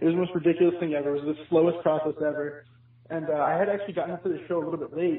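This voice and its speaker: A man talks at a very fast pace in a high pitch. His intonation is monotone and flat. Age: 20s. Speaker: music fan. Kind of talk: casual chat. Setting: phone call. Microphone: echoey line.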